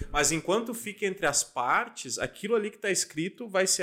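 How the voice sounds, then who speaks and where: A raised, projected voice with a bright, sharp tone and very wide pitch swings, at a moderate pace with hardly any pauses. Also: man. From Santa Catarina, Brazil (Lages). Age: 20s. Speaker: lawyer and legal tech entrepreneur. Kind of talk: casual interview.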